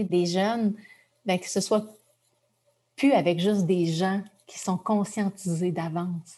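The voice is somewhat breathy and dark and mellow in tone, with monotone, flat intonation. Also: woman. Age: 40s. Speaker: journalist and author. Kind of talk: personal testimony in an interview.

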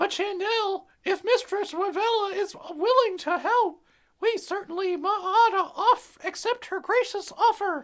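Extremely high pitch at a fairly slow pace. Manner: eager, polite, stammering.

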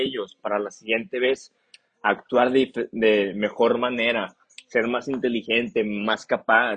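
Medium in pitch, this man's voice shows ordinary pitch variation. He talks at a very slow pace. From northern Mexico. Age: 20s. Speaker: podcast host and construction business owner. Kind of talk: casual monologue podcast. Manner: animated.

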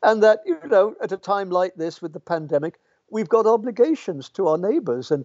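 A man with an English accent, high-pitched and fairly quick, with lively intonation. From English Midlands and Yorkshire. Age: 80s+. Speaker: philosophy professor. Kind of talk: interview. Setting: video call. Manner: fast.

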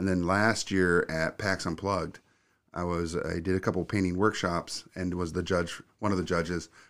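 A man's very deep, low voice, monotone and flat, at a moderate pace, on a very clean recording with a silent background. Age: 50s. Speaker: video production studio owner. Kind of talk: casual interview.

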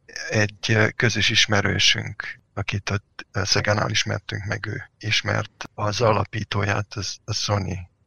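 A man with a fairly low pitch and vocal fry talks very slowly in a monotone, flat intonation. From Hungary, Kecskemét. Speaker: software engineer. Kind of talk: interview.

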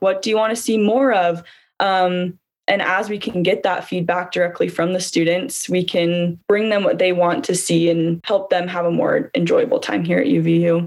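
A woman with a Utah accent talks at a moderate pace in a medium-pitched voice. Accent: Utah American English. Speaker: student government candidate. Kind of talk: interview.

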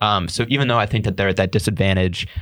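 In a very clean recording with a silent background and a dry, close sound with no echo, a man uses a normal speaking voice, fairly low in pitch, with fairly even intonation. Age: 20s. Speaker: college sports podcast host. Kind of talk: casual chat.

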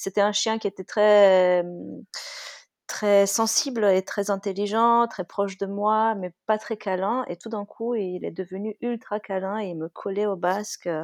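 At a fairly slow pace, a woman with a normal speaking voice talks at medium pitch with fairly even intonation, in a very clean recording with a silent background and a dry, close sound with no echo. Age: 30s. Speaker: dog-owning mother, guest. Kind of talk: casual chat.

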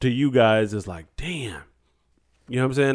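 A man with a normal speaking voice talks fairly quickly at a medium pitch, his pitch varying in an ordinary way. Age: 40s. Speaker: podcast host. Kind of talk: casual chat.

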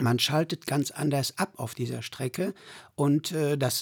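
This man's voice sits at a fairly high pitch with vocal fry, moving at a moderate pace. The recording is very clean and dry, close with no echo, over a silent background. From Sauerland, Germany. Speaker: pilgrim guide, villager. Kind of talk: casual interview.

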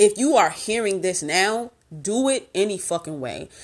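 A woman with a medium pitch talks using lively intonation. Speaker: podcast host. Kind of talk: casual, slangy, profane. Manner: fast talker.

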